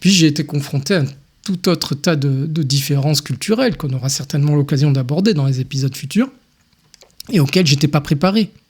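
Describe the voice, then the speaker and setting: A man speaks at a fairly quick pace with a somewhat breathy sound. His fairly high pitch shows ordinary pitch variation. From France (Tunisian-born, raised in France from age one). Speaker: podcast host. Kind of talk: personal monologue podcast. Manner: hesitant, many fillers.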